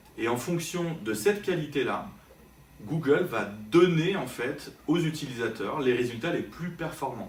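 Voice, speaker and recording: Moderate-paced speech from a man at a fairly high pitch with very wide pitch swings and audible room echo. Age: 40s. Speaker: digital marketing consultant and trainer. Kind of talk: interview. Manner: hesitant, many fillers.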